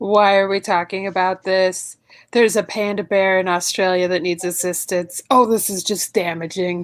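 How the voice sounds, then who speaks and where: A woman uses a put-on, robotic character voice at a medium pitch and a moderate pace. The recording is very clean, with a silent background. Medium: stage play. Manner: flat, robotic.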